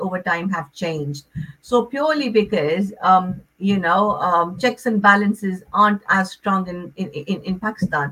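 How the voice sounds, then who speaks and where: At a fairly slow pace and with hardly any pauses, a woman with an unremarkable speaking voice talks with ordinary pitch variation. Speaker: relationship counsellor. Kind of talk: radio interview.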